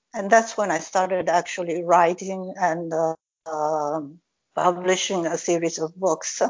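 With fairly even intonation, a normal speaking voice moves at a fairly slow pace. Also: woman, fairly low pitch for a woman. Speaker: author. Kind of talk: casual interview.

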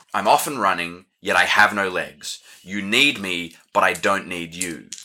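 Putting on a character voice, a man booms at a very deep, low pitch, speaking at a moderate pace with ordinary pitch variation. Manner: riddling, ominous.

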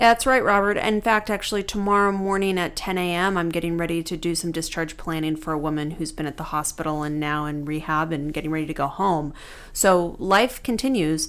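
A woman uses a normal speaking voice, fairly low in pitch with ordinary variation. She talks at a fairly quick pace with hardly any pauses. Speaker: lawyer and podcast co-host. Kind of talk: casual conversation between law partners.

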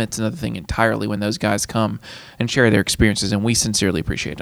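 This man talks. His pace is very fast. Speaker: aviation college instructor. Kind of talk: casual interview chat.

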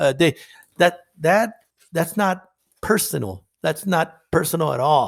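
Pitched high, a man talks with ordinary pitch variation. He moves at a fairly slow pace and pauses long and often. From northern Mexico; Nogales, Sonora. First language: Spanish. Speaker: counselor. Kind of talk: interview.

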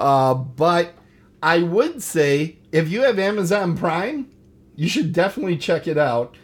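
With a Milwaukee accent, a man talks in an animated tone at a high pitch, with lively intonation and a fairly slow pace. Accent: Milwaukee Wisconsin Midwestern. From Wisconsin, US. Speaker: podcast host. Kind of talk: casual banter, show host. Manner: animated, jokey.

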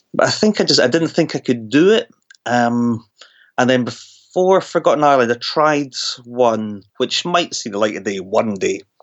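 A man with a Scottish accent at a moderate pace, his intonation lively. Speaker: horror novelist. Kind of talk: interview.

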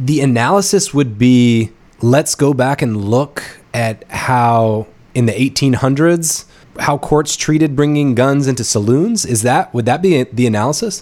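A man with a plain, everyday voice and an American accent, medium pitch with ordinary variation, a fairly slow pace and very even loudness. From North Carolina. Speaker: podcast host. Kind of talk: interview.

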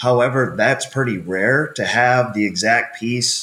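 A man speaks in a plain, everyday voice. His intonation is fairly even and his pace fairly slow. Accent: Canadian. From Canada. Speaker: equipment company marketing manager. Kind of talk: interview.

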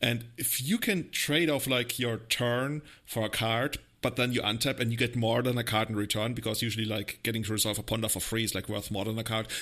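A man with a non-native accent speaks at a fairly quick pace and medium pitch, his tone bright and sharp. The intonation is fairly even, and the recording is very clean with a silent background. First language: not English. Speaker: podcast host. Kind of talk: casual chat.

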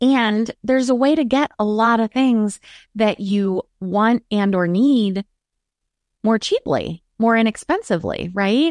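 A woman in an ordinary speaking voice, fairly high in pitch, talks fairly slowly with lively intonation. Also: dry, close sound with no echo. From Maryland, US. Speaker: transformational coach. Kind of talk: interview conversation.

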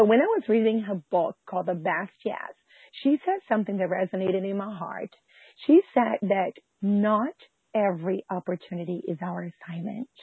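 A woman's voice at a medium pitch shows ordinary pitch variation and keeps a moderate pace. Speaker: pastor and homeschool mom. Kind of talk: interview.

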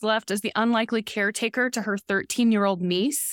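A woman talks at a fairly quick pace in a plain, everyday voice. The recording is very clean, with a silent background and a dry, close sound with no echo. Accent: American. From Oklahoma and southwest Missouri. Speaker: film director and writer. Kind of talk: interview. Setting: film festival.

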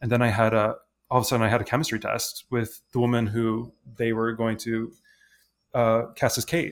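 On a very clean recording with a silent background, a man with a Midwestern US accent talks at a fairly quick pace in a medium pitch, his intonation monotone and flat. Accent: General American, Midwest. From Michigan, suburban Detroit. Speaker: actor. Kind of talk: casual chat.

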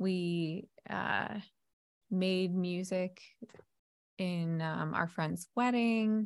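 A woman with an American accent talks at a very slow pace, leaving long, frequent pauses. Her fairly low voice keeps fairly even intonation and very even loudness. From New Jersey. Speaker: music therapist and small business owner. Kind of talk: casual interview chat.

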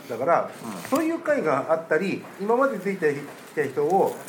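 A man's intonation is lively as he speaks amid audible room echo and noticeable background noise. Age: 40s. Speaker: game shop owner. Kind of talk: casual chat. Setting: rented room with co-hosts.

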